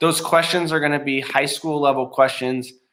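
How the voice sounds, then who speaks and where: A man speaks in a bright, sharp tone. Audible room echo surrounds his voice. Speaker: middle school science teacher. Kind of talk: classroom tutorial. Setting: recording from home. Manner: casual, many filler ums.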